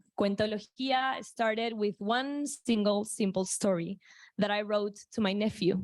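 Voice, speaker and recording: Speaking with a Spanish accent, a woman goes at a fairly slow pace with fairly even intonation and very even loudness. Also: fairly high pitch for a woman. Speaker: startup founder pitching. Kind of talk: pitch presentation.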